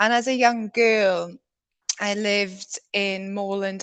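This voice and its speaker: Against a quiet background, a woman with a South Welsh accent speaks at a very slow pace with fairly even intonation. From South Wales. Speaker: conservation biologist. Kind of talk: presentation talk.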